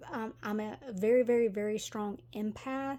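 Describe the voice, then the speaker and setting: A woman with a Tennessee accent, medium pitch, ordinary pitch variation, a dark, mellow tone and a fairly slow pace. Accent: Southern US (Tennessee). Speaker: tarot reader. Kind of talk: tarot reading. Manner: halting, many fillers; casual, chatty.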